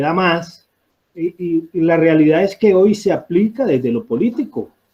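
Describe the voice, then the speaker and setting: Speaking fairly slowly, a man uses lively intonation at a high pitch. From Colombian Pacific coast (Barbacoas, Nariño). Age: 60s. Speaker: audience participant. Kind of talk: public discussion comment. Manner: halting, many fillers.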